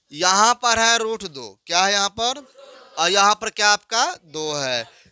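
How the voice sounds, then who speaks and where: At a fairly slow pace, a man uses a raised, projected voice with a bright, sharp tone and a high pitch. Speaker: school maths teacher. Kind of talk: classroom lecture. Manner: slow, repetitive explanation.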